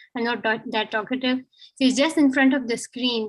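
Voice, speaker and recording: A woman with a Pakistani accent at a moderate pace, her intonation monotone and flat, in a very clean recording with a silent background. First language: Urdu. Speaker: student of international relations. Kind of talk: impromptu speech. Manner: halting.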